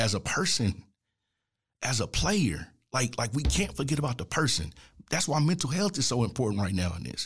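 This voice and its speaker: A man talks at a very fast pace with an American accent and vocal fry. His pitch swings very widely. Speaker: basketball analyst and podcast host. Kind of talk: solo podcast monologue. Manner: loud; animated.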